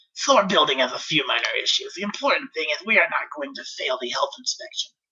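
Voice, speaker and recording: A man does a put-on character voice with a high pitch. He talks at a very fast pace. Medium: read story. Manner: gruff, sardonic.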